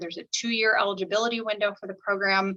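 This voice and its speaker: The woman's medium-pitched voice has a bright, sharp tone and fairly even intonation. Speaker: college program coordinator. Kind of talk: online information session presentation. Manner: fast.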